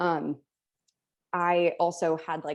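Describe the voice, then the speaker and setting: The tone is dark and mellow. Nothing much stirs behind it. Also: woman. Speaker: college mock trial competitor. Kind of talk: casual chat. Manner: fast.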